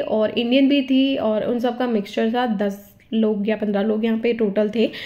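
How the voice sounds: A woman's voice carries a dark, mellow tone with ordinary pitch variation.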